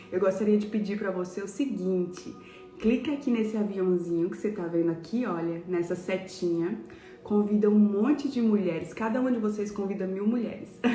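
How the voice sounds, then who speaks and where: A soft-spoken woman talks at a medium pitch and a moderate pace, with ordinary pitch variation. Music plays in the background and the room echo is audible. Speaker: pastor. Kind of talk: devotional sermon.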